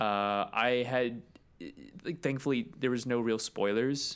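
In a very clean recording with a silent background, a man with an unremarkable speaking voice talks at a medium pitch and fairly slow pace, with fairly even intonation and very even loudness. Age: 20s. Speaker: podcast co-host, filmmaker. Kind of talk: casual chat.

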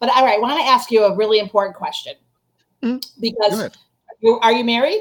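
A woman's fairly high, animated voice at a very fast pace. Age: 50s. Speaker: marketing expert and interviewer. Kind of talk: casual interview conversation.

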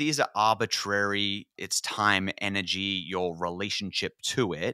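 With an Australian accent, a man speaks at a fairly slow pace in a fairly low voice with ordinary pitch variation and a bright, sharp tone, the sound dry and close with no echo on a very clean recording with a silent background. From Australia, northern New South Wales. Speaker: podcast host. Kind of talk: casual interview chat.

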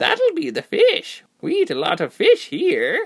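A put-on character voice sits at an extremely high pitch. It moves along at a fairly slow pace. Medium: read story. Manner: chatty, crooning, cheerful.

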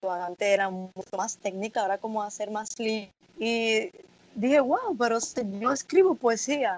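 With an ordinary speaking voice, a woman talks at a fairly slow pace with a fairly high pitch and lively intonation. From Dominican Republic, Santo Domingo. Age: 20s. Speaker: student poet. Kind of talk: interview.

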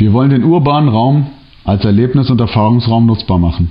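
A man talks in a plain, everyday voice. His pitch is medium with ordinary variation, and his pace is moderate. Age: 30s. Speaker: social worker. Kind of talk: prepared presentation. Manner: formal.

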